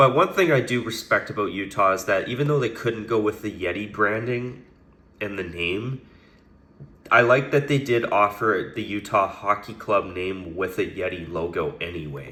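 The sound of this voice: A man speaks at a moderate pace in a fairly low, raspy voice. His tone is bright and sharp, with ordinary pitch variation.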